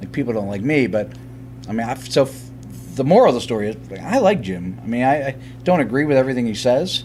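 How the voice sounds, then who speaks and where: Very fast and with lively intonation, a man speaks at a medium pitch against noticeable background noise. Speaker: interviewer. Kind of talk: interview. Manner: loud; halting.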